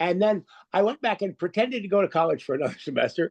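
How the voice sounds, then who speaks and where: This man speaks at a very fast pace. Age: 60s. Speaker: professional poker player. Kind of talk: interview storytelling. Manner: halting.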